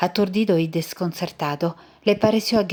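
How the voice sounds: Natural reading voice, nothing more.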